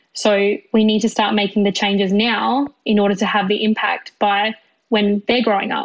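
The speaker has an Australian accent and a flat, monotone delivery at a moderate pace. Loudness stays very even throughout. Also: woman, medium pitch for a woman. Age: 20s. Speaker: civil engineer. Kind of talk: interview.

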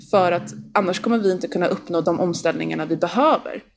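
A woman with an unremarkable speaking voice, fairly low in pitch, at a fairly quick pace. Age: 20s. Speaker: youth representative to the UN. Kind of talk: casual interview.

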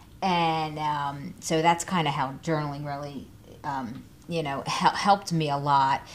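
A woman with an American accent, very deep and low in pitch, with fairly even intonation and a fairly slow pace. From New Jersey (Trenton). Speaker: podcast host. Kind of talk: casual interview. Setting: in person studio.

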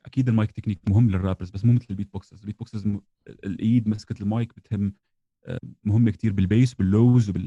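Very fast, somewhat breathy speech with a dark, mellow tone, monotone, flat intonation, and a dry, close sound with no echo. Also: man, fairly low pitch for a man. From southern Syria (Daraa), later Jordan. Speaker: beatboxer and musician. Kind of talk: casual chat.

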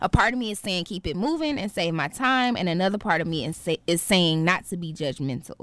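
With a plain, everyday voice, a woman talks at a fairly quick pace and fairly low pitch, using lively intonation and hardly any pauses. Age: 20s. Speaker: podcast co-host. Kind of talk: casual chat.

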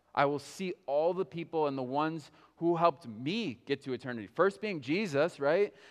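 A man's fairly high voice, a normal speaking voice with ordinary pitch variation, against a quiet background. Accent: American. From US, Berlin. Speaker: pastor. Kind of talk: sermon.

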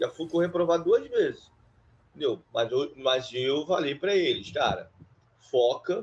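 The speaker goes at a fairly slow pace. Long, frequent pauses break up the speech. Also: man. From Rio de Janeiro, Brazil (Duque de Caxias). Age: 50s. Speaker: database administrator. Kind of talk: interview. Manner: halting, many fillers.

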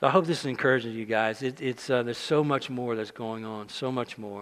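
Here a man talks at a fairly quick pace. His pitch is medium, and his intonation stays fairly even. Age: 60s. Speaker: preacher. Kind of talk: sermon. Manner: halting.

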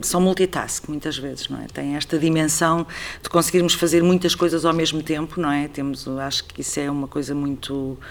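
A woman's very deep, low voice, monotone and flat, at a moderate pace. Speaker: artistic director of a theatre. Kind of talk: interview conversation.

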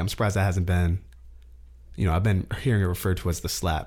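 A man with a very deep, low voice and vocal fry talks at a very fast pace in an animated tone. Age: 20s. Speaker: podcast host. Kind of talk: casual solo commentary.

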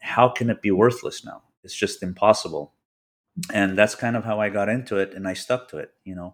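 An unremarkable speaking voice from a man with an American accent, fairly low in pitch with fairly even intonation, on a very clean recording with a silent background. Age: 40s. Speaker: car collector and builder. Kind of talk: interview.

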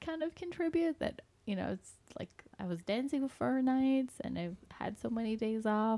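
Dry and close with no echo, the recording holds a woman's fairly high voice with a dark, mellow tone. Her intonation is lively. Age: 40s. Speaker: podcast co-host, physician. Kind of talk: casual chat.

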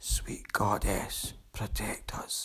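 Someone whispers in a put-on character voice, with hissing throughout. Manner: hissing, fearful.

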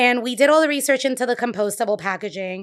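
With a Puerto Rican accent, the speaker keeps a moderate pace and ordinary pitch variation in a very clean recording over a silent background. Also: woman. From Puerto Rico. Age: 30s. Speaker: bakery owner. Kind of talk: casual interview. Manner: vibrant.

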